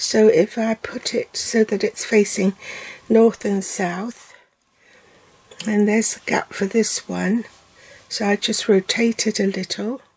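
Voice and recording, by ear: A woman's medium-pitched voice with a slightly husky edge and a slightly mellow tone, fairly even intonation, and a slow pace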